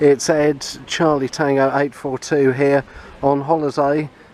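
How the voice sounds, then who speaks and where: A man with a fairly high pitch at a fairly slow pace, over noticeable background noise. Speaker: amateur radio hobbyist. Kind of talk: vlog narration; radio contact exchange.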